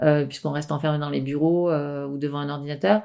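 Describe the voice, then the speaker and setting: Her voice has a dark, mellow tone and a very deep, low pitch for a woman. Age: 40s. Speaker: naturopath. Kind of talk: interview.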